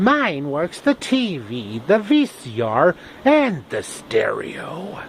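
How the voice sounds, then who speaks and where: A man does a put-on character voice against clear background noise. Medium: solo performance.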